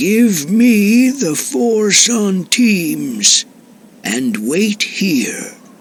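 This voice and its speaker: Speaking very slowly, a man puts on a character voice that sits high for him, with lively intonation. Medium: audio drama.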